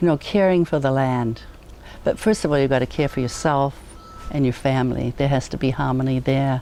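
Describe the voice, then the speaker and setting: Over noticeable background noise, a woman with a New Zealand accent speaks at a very deep, low pitch with ordinary pitch variation. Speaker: educator. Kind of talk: casual interview. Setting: outdoors on a back deck.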